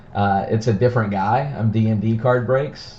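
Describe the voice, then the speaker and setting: A man with an American accent and a fairly low pitch, monotone and flat, at a moderate pace with audible room echo. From Texas, Dallas-Fort Worth area. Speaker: card breaker streamer. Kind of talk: live stream card break.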